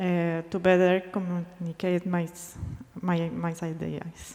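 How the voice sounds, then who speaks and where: A woman talks at a very slow pace. There is noticeable background noise. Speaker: museum researcher presenting at a conference. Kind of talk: conference presentation. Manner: slow, deliberate Spanish; halting, hesitant English.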